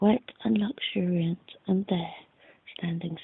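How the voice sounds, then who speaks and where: The speaker whispers, soft-spoken, at a fairly slow pace. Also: woman. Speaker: ASMR reader. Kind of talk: softly spoken audiobook reading for relaxation. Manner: soft-spoken, whispered.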